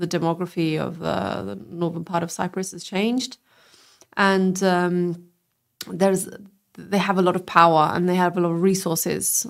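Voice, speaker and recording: A woman with a British accent speaks in a fairly low pitch and fairly even intonation. She keeps a fairly slow pace with long, frequent pauses. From England. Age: 30s. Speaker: politician and lawyer. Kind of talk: interview. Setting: live-streamed podcast.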